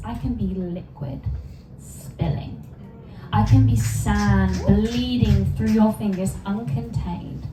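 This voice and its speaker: Over music in the background, the voice proceeds at a very slow pace. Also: woman. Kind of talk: poetry reading.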